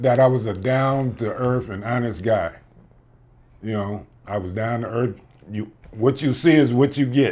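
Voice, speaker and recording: The man speaks at a moderate pace, with long, frequent pauses. His pitch is medium, with ordinary variation. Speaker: interviewee father. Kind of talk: casual interview.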